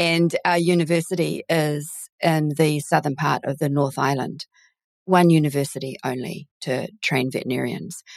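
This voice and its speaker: With a New Zealand accent, a woman speaks at a moderate pace in a very deep, low pitch with fairly even intonation. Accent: Kiwi. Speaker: recruitment founder and podcast host. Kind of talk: casual interview.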